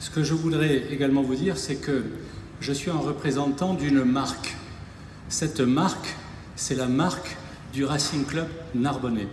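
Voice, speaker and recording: A man speaks at a fairly slow pace and a fairly high pitch, his intonation fairly even, with long, frequent pauses. Audible room echo and noticeable background noise surround him. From southern France, Narbonne. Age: 60s. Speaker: rugby club president. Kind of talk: public speech. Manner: hesitant, repetitive.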